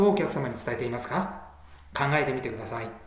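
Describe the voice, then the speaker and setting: A man talks fairly quickly, his pitch swinging very widely, with audible room echo and noticeable background noise. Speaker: sales coach. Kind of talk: scripted narration.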